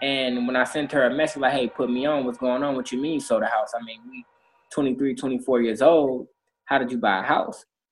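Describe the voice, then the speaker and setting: At a fairly quick pace, a man speaks in a monotone, flat intonation at medium pitch. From Inglewood, Los Angeles. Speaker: financial advisor. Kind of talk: podcast interview.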